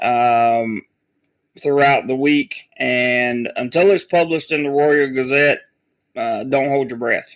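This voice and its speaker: A man speaks at a very slow pace with an American accent. His pitch sits fairly high. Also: ordinary pitch variation. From US South, North Carolina. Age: 30s. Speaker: travel vlogger. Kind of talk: live stream chat. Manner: halting, many fillers.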